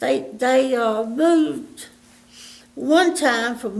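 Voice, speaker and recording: The speaker talks at a very slow pace with an eastern North Carolina accent. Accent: Southern US (eastern North Carolina). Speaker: elderly local resident telling life stories. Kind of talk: oral history interview. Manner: halting.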